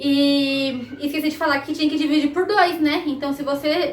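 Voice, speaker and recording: The room echo is audible as a woman speaks. Her pitch is high, with ordinary variation. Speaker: math teacher. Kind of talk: recorded lesson.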